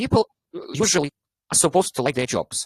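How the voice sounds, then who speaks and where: A man with a Russian accent swings his pitch very widely, the sound dry and close with no echo. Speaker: English teacher. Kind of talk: online club discussion. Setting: online meeting. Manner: animated.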